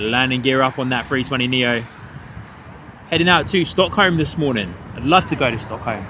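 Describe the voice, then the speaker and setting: Amid noticeable background noise, a man with a medium pitch speaks at a moderate pace, taking long, frequent pauses. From England, Hertfordshire. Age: 30s. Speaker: plane spotting livestream host. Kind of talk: live commentary. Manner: animated.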